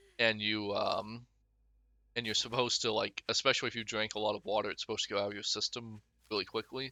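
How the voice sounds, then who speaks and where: At a very fast pace, a man speaks in a fairly low pitch with a monotone, flat intonation. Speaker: gaming youtuber. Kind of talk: gameplay commentary. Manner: casual, rambling with fillers.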